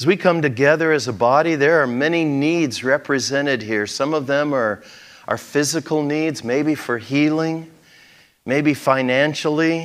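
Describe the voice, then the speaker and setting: Against a quiet background, a man uses an ordinary speaking voice, fairly high in pitch, at a moderate pace with ordinary pitch variation. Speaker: pastor. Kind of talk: sermon. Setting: church. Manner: conversational, folksy. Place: church. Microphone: lapel.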